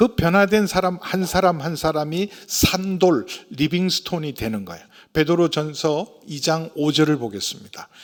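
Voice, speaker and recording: A man speaks in an unremarkable speaking voice, fairly high in pitch, at a fairly slow pace. His intonation is lively and his loudness swings widely. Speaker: senior pastor. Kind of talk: sermon.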